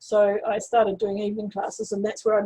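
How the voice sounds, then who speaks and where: Her voice somewhat breathy and fairly high, a woman with a New Zealand accent speaks in a dark, mellow tone with fairly even intonation. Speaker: astrologer. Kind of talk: interview. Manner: halting.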